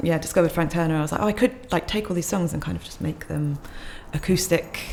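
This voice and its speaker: There is noticeable background noise as a woman talks very fast. Her pitch is fairly low and her intonation fairly even. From southern England, Kent. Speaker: singer-songwriter and violinist. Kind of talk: casual podcast interview. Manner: hesitant, many fillers.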